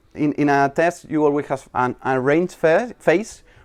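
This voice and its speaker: A man speaks fairly slowly, his pitch varying in an ordinary way, with quiet all around. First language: not English. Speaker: software developer. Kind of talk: conference talk. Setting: stage with audience. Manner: halting.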